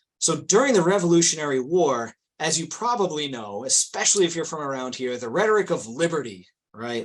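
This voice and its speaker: This man speaks at a fairly quick pace. His loudness swings a lot, and his pitch swings very widely. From Rhode Island. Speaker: research historian. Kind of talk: webinar lecture. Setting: online webinar. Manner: many fillers, um and you know.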